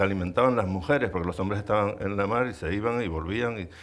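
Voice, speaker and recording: The background is silent and the recording very clean. A man's fairly low voice shows ordinary pitch variation. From Canary Islands, Lanzarote. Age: 60s. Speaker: artist. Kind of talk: public conversation. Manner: halting.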